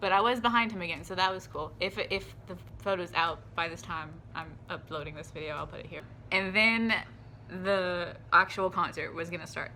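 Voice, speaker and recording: This woman has a bright, sharp tone with vocal fry, and her loudness swings widely. Room echo can be heard on the recording. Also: medium pitch for a woman, ordinary pitch variation. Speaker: vlogger. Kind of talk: casual chat. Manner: fast; animated.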